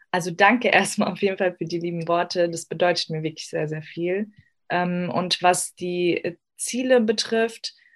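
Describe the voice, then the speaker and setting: A woman's fairly low voice, an unremarkable speaking voice, with ordinary pitch variation and a fairly slow pace. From Germany, Afghan family. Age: 20s. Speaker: psychology student. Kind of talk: interview.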